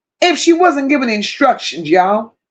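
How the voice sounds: Big pitch swings mark this woman's fairly high voice. She talks at a moderate pace.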